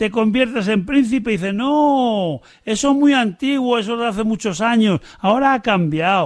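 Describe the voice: The pitch shifts by an ordinary amount. It is plain reading aloud.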